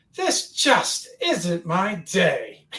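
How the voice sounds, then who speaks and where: A put-on character voice, fairly high in pitch. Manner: resigned, weary.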